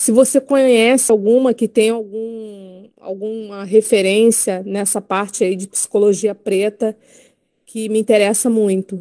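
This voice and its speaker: A woman's fairly high voice with a dark, mellow tone, fairly even intonation and a fairly slow pace, in a dry, close sound with no echo. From Rio de Janeiro. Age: 50s. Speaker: teacher, audience participant. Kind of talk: audience question.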